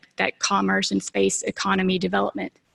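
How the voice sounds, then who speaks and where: A woman in a Southern US accent at a fairly quick pace, the sound dry and close with no echo. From US South. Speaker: space agency technology manager. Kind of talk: conference presentation. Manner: fast; animated.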